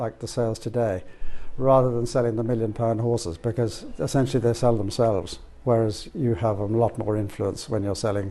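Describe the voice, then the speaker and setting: A man speaks in an Irish accent at a fairly quick pace, with a medium pitch. His tone is dark and mellow, and his intonation is fairly even. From Ireland. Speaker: auctioneer. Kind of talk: interview. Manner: hesitant.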